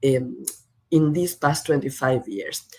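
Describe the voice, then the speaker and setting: Lively in intonation, a woman with a Spanish accent speaks at a fairly slow pace. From Argentina, Buenos Aires. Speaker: professor. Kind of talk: lecture. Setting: video call.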